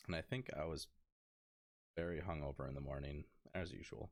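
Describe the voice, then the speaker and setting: Vocal fry runs through this man's very deep, low voice, which has ordinary pitch variation. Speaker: gaming podcast co-host. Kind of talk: casual chat. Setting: podcast recording.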